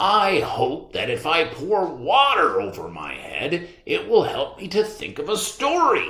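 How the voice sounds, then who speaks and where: A man speaks in a put-on character voice at a fairly slow pace. He leaves hardly any pauses. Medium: read story. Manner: earnest, fretful.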